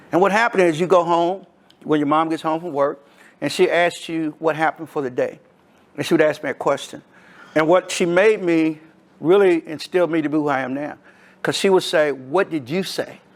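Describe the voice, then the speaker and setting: Male speaker with an American accent, fairly high in pitch, at a fairly quick pace. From Louisville, Kentucky, US. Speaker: community speaker. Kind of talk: storytelling. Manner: animated.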